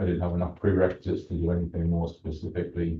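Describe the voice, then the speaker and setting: The voice is somewhat breathy, with an English accent. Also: man. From England. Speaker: candidate for vacant council seat. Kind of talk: public comment at council meeting. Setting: city council meeting. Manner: hesitant, many filler ums.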